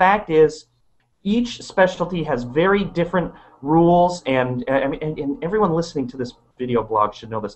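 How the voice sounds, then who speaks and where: A high-pitched man with lively intonation, talking at a fairly quick pace. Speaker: pediatric practice management consultant. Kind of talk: casual discussion. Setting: video recording. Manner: fast.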